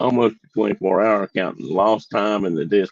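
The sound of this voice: A man's put-on character voice, hoarse and fairly low, at a fairly slow pace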